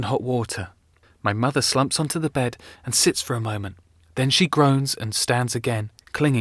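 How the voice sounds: Pitch variation here is ordinary. The reading voice is natural.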